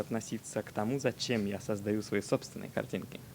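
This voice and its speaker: A man is speaking. His pace is moderate. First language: Russian (speaking Japanese). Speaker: illustrator. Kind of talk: casual chat. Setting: remote audio guest. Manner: halting.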